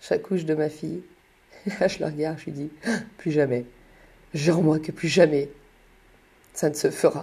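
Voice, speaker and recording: The voice is dark, mellow and somewhat breathy, moving at a moderate pace with long, frequent pauses, fairly even intonation and big swings in loudness over a quiet background. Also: woman, very deep, low pitch for a woman. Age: 30s. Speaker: mother telling her life story. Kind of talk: personal storytelling monologue.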